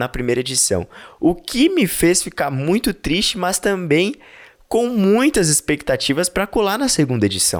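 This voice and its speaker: On a very clean recording with a silent background, a man speaks fairly slowly in a high voice with very wide pitch swings. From São Paulo, East Zone. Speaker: podcast host and event correspondent. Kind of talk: casual vlog-style chat and event coverage. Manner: animated.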